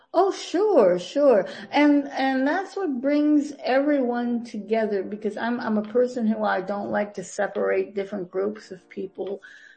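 Over noticeable background noise, a woman with an American accent and a fairly high pitch speaks with lively intonation at a fairly slow pace, with hardly any pauses. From US Midwest, Green Bay, Wisconsin. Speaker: TV producer. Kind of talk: interview.

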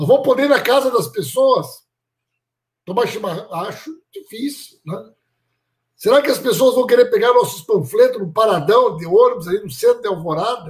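A man with an extremely high pitch talks at a moderate pace with lively intonation. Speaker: politician hosting a livestream. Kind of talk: political livestream chat. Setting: online livestream.

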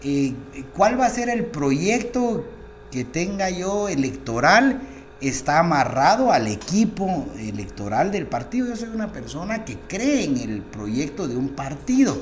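At a very slow pace, a man talks at a high pitch with very wide pitch swings. Noticeable background noise and audible room echo are present. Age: 40s. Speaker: congressman. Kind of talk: interview.

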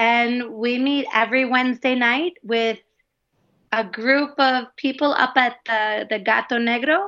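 In an American accent, a woman speaks at a fairly slow pace. Her pitch is high, with ordinary pitch variation. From US Midwest, Wisconsin and Minnesota. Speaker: primary school teacher. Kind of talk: casual chat.

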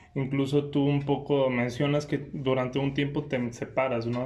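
A man's medium-pitched voice holds fairly even intonation while noticeable background noise is present. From Irapuato, Mexico. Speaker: podcast host. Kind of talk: casual interview. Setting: museum, in person.

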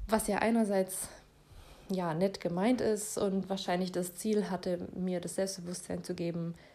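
A woman's dark, mellow voice in a monotone, flat intonation. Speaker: solo podcaster. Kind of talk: casual monologue.

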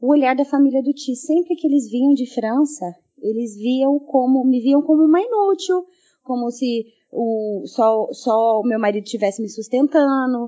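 Speaking at a fairly slow pace, the woman has a high-pitched voice. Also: ordinary pitch variation. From Brazil. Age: 30s. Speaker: massage therapist and mother. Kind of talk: recorded voice message testimony.

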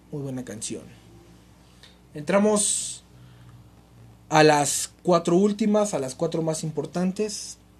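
A man speaks in a high voice at a very slow pace, with long, frequent pauses and big swings in loudness. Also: ordinary pitch variation. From Mexico, Nezahualcóyotl (State of Mexico). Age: 20s. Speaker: podcast host. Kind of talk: casual monologue. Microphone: cheap makeshift mic, pen and notebook noises.

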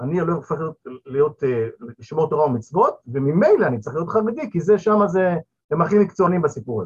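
Speaking at a fairly quick pace, a man uses lively intonation in a high pitch. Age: 50s. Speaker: returnee to religion, father of eight. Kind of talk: panel discussion. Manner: halting, with fillers.

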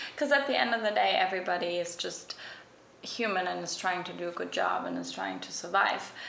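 The speech moves at a very fast pace. Noticeable background noise sits behind it. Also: woman. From Germany. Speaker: fashion stylist. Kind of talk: casual chat. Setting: echoey room.

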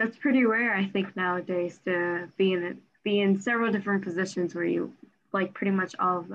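A woman's ordinary speaking voice at a medium pitch. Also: fairly even intonation, fairly quick pace. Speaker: student podcast host. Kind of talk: interview.

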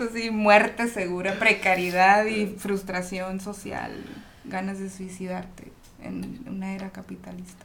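Her pitch sits in the middle range for a woman, and she talks fairly slowly. The intonation is flat and monotone throughout. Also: big swings in loudness. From Ensenada, Baja California, Mexico. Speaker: rapper. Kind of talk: casual chat.

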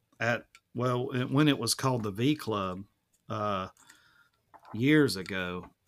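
A man with an Alabama accent speaks at a fairly slow pace in a medium pitch, his intonation lively. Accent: Southern US (Alabama). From US South, Alabama (Mobile County). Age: 40s. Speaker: musician and painter. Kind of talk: casual interview conversation.

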